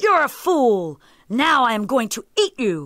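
A put-on character voice with a fairly high pitch moves at a fairly slow pace. Its pitch swings very widely. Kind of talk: children's story acting. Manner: menacing, impatient.

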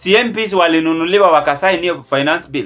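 Over faint background music, a man with a high voice talks at a moderate pace with ordinary pitch variation. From Kenya. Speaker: political commentary vlogger. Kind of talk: political commentary monologue. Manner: animated. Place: home room. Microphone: phone near.

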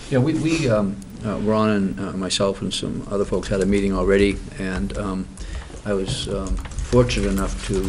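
The delivery moves at a moderate pace. Noticeable background noise can be heard throughout. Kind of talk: meeting report. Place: meeting room. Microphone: podium.

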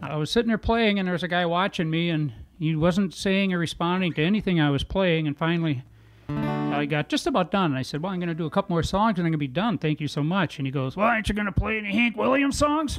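Faint music plays in the background as a man talks at a very fast pace and high pitch. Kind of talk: storytelling between songs. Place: home room. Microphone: studio mic.

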